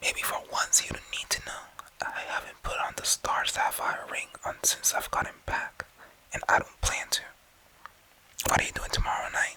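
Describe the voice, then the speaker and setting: Someone whispers at a moderate pace. Noticeable background noise sits behind the voice. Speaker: ASMR creator. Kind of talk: comic book reading. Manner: soft-spoken.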